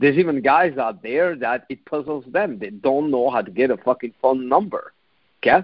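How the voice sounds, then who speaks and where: A man with a European accent talks with lively intonation. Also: medium pitch for a man, moderate pace. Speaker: dating coach and podcast host. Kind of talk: solo podcast monologue.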